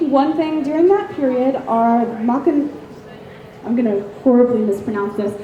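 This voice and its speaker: Speaking with an American accent, a woman with a high pitch talks fairly slowly with lively intonation amid noticeable background noise and audible room echo. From US South. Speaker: convention panelist. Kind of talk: lecture. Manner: hesitant, many ums.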